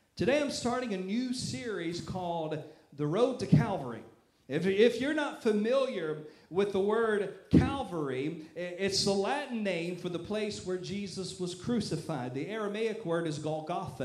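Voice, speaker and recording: There is noticeable background noise behind a man with a high pitch. His tone is animated, with very wide pitch swings. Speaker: pastor. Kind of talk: sermon. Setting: church. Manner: loud, animated.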